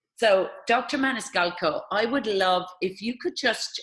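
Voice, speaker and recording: A woman with an Irish accent speaks fairly slowly in a fairly high voice, her pitch swinging very widely. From Ireland. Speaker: interviewer. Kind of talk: interview.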